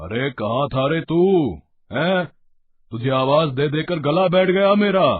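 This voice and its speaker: Shouting in a put-on character voice, a man speaks at a fairly high pitch with lively intonation. His pace is fairly slow. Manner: shouting angrily.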